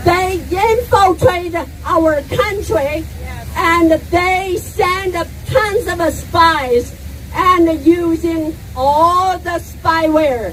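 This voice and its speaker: Very slow speech with ordinary pitch variation over noticeable background noise. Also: woman, extremely high pitch for a woman. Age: 60s. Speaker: protest speaker. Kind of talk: speech at rally.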